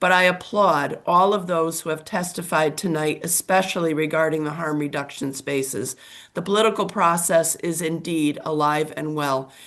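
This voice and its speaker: A woman uses a raspy, put-on character voice with a fairly low pitch. She speaks at a moderate pace with fairly even intonation. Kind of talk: formal testimony.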